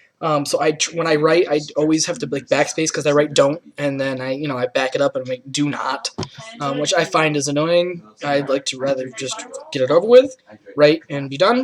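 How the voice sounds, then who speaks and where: A man with a slight Rochester accent talks at a fairly quick pace. His pitch is fairly high, with ordinary variation. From Rochester, New York, US. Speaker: student vlogger. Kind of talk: casual self-interview. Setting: indoors with friends present. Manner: hesitant, many fillers.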